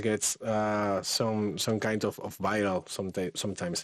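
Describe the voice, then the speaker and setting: A man speaks with a Spanish accent. His pitch is fairly low. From Spain. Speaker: AI content creator and workshop instructor. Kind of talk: live online workshop. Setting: live stream. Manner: halting, many repetitions.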